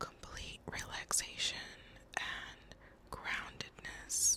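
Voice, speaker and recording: Noticeable background noise sits behind a whispered voice with a calm tone. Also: woman. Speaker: ASMR creator. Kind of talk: ASMR soft-spoken whispered talk to camera. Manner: soft-spoken, whispered, calm.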